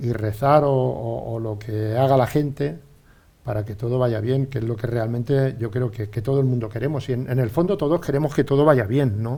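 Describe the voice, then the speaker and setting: Dark and mellow in tone, a man's medium-pitched voice is somewhat breathy. He keeps a moderate pace with ordinary pitch variation. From Spain, Albacete region (born Ontur). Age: 60s. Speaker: former pro cyclist and businessman. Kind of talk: casual interview chat. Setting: radio studio.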